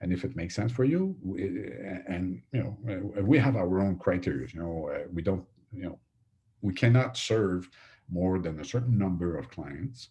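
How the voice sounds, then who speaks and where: In a French accent, a man speaks at a moderate pace with a very deep, low pitch and a dark, mellow tone. His intonation is lively and his voice somewhat breathy. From Quebec. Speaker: franchise consultant. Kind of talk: webinar sales pitch. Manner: halting, many fillers and repetitions.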